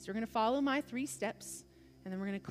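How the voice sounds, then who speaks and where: With music in the background, a woman speaks in an American accent with ordinary pitch variation. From US South. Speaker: preacher. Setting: church.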